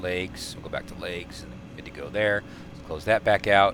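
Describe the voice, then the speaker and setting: Moderate pace over noticeable background noise. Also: man. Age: 50s. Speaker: flight simulator video creator. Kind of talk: gameplay commentary. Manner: halting, many fillers; casual, chatty.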